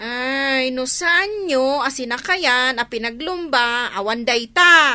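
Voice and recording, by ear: Using a put-on character voice, a woman speaks slowly at a high pitch with lively intonation and a tone that is bright and sharp yet clear and smooth.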